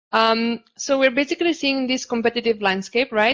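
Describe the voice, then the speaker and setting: A woman with a non-native accent and fairly even intonation, against a quiet background. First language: not English. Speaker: panel moderator. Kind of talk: panel discussion. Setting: virtual summit video call.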